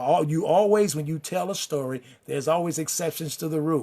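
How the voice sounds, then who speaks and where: In an American accent, a man with a fairly high pitch speaks with ordinary pitch variation. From Chicago, US. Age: 60s. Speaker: pastor and online show host. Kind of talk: talk-show style address to an online audience. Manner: halting, with repeated words.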